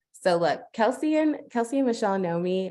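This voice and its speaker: This woman's voice has a dark, mellow tone. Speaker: platform representative presenting a business portal. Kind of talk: webinar presentation. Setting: video call webinar. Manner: fast.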